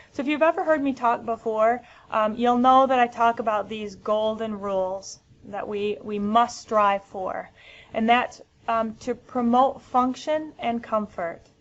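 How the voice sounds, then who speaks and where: Her pitch is fairly high, with ordinary variation. The woman has an American accent and speaks at a fairly slow pace. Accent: American, noticeable. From US Midwest, Michigan. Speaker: physical therapist presenter. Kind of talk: educational webinar. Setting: webinar. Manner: frequent filler ums.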